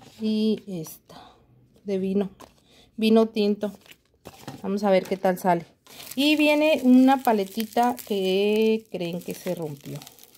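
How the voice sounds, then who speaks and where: Very slowly, with long, frequent pauses, a woman talks in a dark, mellow tone with ordinary pitch variation. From Mexico. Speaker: nail art youtuber. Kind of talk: unboxing video. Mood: cheerful, chatty. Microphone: phone near.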